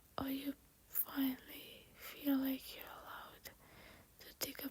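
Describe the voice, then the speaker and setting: A woman whispers at a very slow pace. Her tone is gentle and calm. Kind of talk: soft late-night voiceover ramble. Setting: voiceover recorded over makeup video. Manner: soft-spoken, gentle, calm.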